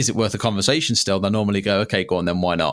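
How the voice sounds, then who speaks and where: A man's fairly low voice with a British accent, a very fast pace and fairly even intonation, on a very clean recording with a silent background. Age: 20s. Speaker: software startup founder. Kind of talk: interview.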